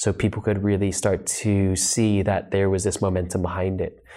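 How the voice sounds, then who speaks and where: An American man speaks fairly quickly in a fairly low pitch, his tone dark and mellow and his intonation monotone and flat. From Los Angeles, US. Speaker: yoga teacher and author. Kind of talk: interview podcast. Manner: calm.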